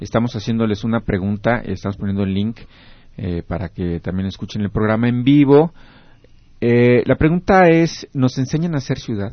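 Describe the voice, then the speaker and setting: With a plain, everyday voice, a man of medium pitch speaks at a moderate pace using lively intonation. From Mexico, Querétaro. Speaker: radio host. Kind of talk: radio talk show.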